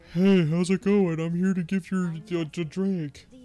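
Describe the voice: A put-on character voice speaks in a flat monotone at a moderate pace. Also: man, high pitch for a man.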